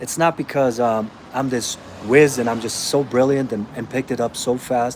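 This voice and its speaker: A man with a non-native accent at a medium pitch. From Austria (born in Romania). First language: Romanian. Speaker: fitness coach. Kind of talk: live Q&A stream. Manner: casual, conversational.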